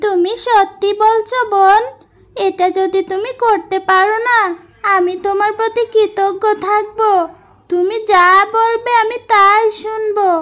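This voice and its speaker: A female-sounding cartoonish character voice speaks at a fairly slow pace in an extremely high pitch. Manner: soft, earnest.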